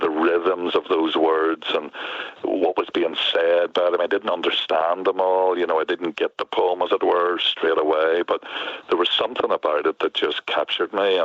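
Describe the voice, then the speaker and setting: With a Northern Irish accent, a man speaks at a moderate pace and very even loudness over noticeable background noise. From Northern Ireland, near Belfast. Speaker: poet. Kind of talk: interview. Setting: front porch, remote call.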